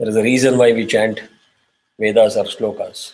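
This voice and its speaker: A man with an Indian accent. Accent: Indian accent, kept unchanged. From South India (Tamil). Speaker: spiritual teacher. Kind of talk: lecture. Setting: class with on-site and online students.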